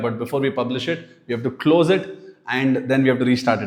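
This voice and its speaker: A man with an Indian accent talks at a fairly quick pace. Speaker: business owner teaching AI tools. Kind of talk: tutorial. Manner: casual, conversational.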